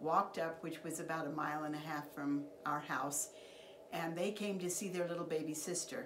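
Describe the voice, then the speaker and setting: A woman with an American accent speaks in a fairly low pitch with fairly even intonation. Noticeable background noise and audible room echo are in the recording. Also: moderate pace. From Idaho, US (Oakley). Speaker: family elder sharing life stories. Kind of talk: oral history interview.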